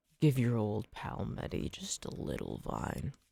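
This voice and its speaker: Pitched fairly low, a man puts on a character voice. He speaks at a moderate pace. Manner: creepy, ingratiating, wheedling.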